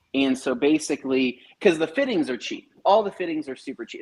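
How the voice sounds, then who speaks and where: The man's loudness swings widely as he talks at a fairly quick pace. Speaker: detailing podcast host. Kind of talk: casual chat.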